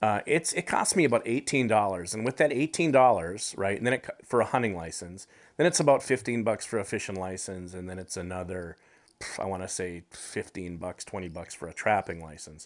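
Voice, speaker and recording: An ordinary speaking voice with an American accent moves at a fairly quick pace, with lively intonation and big swings in loudness over a quiet background. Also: man, fairly low pitch for a man. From US Midwest, Upper Peninsula of Michigan. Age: 40s. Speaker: outdoor TV and radio host. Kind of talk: casual interview chat. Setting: remote call.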